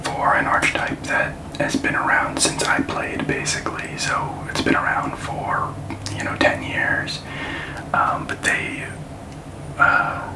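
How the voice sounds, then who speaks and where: Someone whispers at a fairly slow pace in a relaxed tone, leaving long, frequent pauses. Noticeable background noise is present. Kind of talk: ASMR card-opening video talking to the camera. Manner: quiet, relaxed, soft-spoken.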